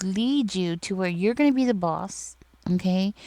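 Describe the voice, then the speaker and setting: In a very clean recording with a silent background, a woman talks at a medium pitch with a dark, mellow tone. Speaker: tarot reader. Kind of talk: tarot reading monologue. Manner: stuttering in this reading; casual, filler-heavy.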